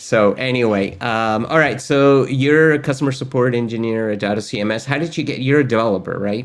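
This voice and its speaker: A man with a Spanish accent speaks at a medium pitch and a fairly quick pace. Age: old. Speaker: course host, tech educator. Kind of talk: casual interview chat.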